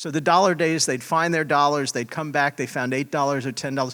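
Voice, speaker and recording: A man speaks in an ordinary speaking voice with an American accent, fairly high in pitch with ordinary pitch variation. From Pennsylvania, US. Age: 60s. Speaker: hotel trainer. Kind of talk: panel discussion.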